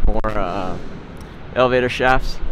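Noticeable background noise surrounds a man whose intonation stays fairly even. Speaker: videographer narrator. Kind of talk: commentary. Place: street. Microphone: phone near.

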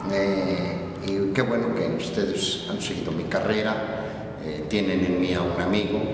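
Strong room echo and noticeable background noise fill the clip. Through it, a man speaks at a fairly low pitch. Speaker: voice actor. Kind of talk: casual talk to camera. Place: classroom.

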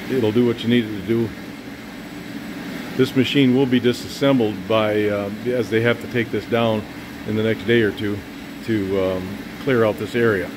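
At a moderate pace, a man speaks with fairly even intonation, long and frequent pauses, and noticeable background noise. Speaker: auctioneer. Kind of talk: casual equipment walkthrough for auction. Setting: indoors near running machine. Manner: casual, hesitant. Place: workshop. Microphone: phone near.

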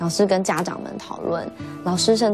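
Over clear music in the background, a woman speaks at a fairly low pitch with ordinary pitch variation. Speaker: interview guest. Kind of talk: interview answer. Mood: recounting painful school memories. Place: studio.

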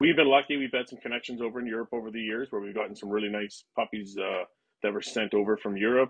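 A man speaks at a very fast pace with a Canadian accent. His intonation is fairly even, and the background is quiet. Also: big swings in loudness. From western Canada. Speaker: police dog handler and trainer. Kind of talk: interview. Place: home room. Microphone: webcam.

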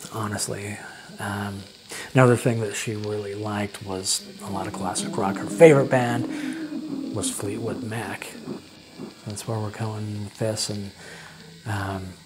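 Over noticeable background noise, a man with a fairly low pitch speaks with long, frequent pauses and big swings in loudness. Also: ordinary pitch variation. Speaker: storyteller. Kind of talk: casual storytelling to camera. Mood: reflective, wistful. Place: home room. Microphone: lapel.

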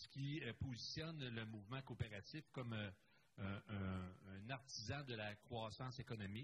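A somewhat breathy man's voice at medium pitch and moderate pace. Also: ordinary pitch variation. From Quebec. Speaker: conference moderator, accountant; conference speaker. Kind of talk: conference panel presentation. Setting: conference room with live and online audience. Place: hall.

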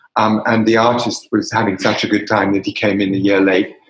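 The recording has audible room echo and a quiet background. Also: man. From England. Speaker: wine bar owner; guest. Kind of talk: interview. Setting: remote call. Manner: halting. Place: bar. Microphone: video call.

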